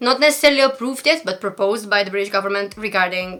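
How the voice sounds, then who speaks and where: A woman with a Romanian accent and a bright, sharp tone. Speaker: commentary YouTuber. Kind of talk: reading own email aloud, commentary; casual commentary. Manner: sometimes stutters; shy, hesitant.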